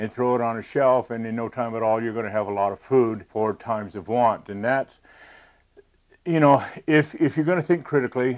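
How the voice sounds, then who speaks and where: Pitch varies in an ordinary way as a man talks at a moderate pace. Behind him, things are quiet. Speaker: presenter. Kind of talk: tutorial. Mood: earnest, cautionary. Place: studio. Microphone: lapel.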